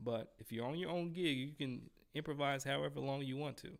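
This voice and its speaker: A man with a plain, everyday voice and a fairly high pitch talks at a moderate pace with ordinary pitch variation. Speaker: trumpet teacher. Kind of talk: live stream Q&A. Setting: live stream. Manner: casual.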